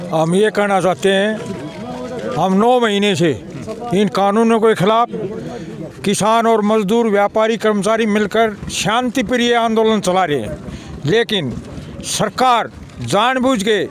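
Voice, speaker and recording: There is noticeable background noise as a man talks in a high voice with ordinary pitch variation. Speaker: farmer union leader. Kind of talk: protest statement to press.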